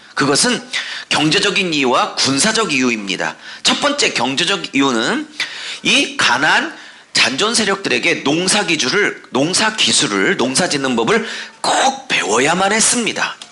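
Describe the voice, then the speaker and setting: A man with a high pitch and very wide pitch swings talks at a fairly slow pace in very even loudness, with audible room echo and noticeable background noise. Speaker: pastor. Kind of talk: sermon.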